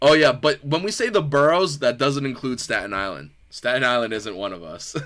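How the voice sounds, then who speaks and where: Speaking at a fairly quick pace with an American accent, a man at medium pitch makes very wide pitch swings and big swings in loudness. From New York. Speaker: podcast host. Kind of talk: casual chat. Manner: animated.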